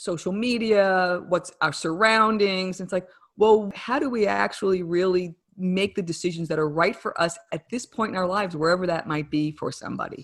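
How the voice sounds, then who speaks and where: A woman speaks with a New Jersey accent against a quiet background. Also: medium pitch for a woman, ordinary pitch variation, moderate pace. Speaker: wellness coach and author. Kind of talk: interview.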